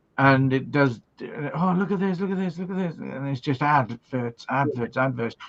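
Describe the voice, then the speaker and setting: With a Welsh accent, a man talks at a moderate pace and fairly high pitch, with ordinary pitch variation and hardly any pauses. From Wales. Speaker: livestream host. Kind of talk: casual chat. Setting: live stream. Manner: animated.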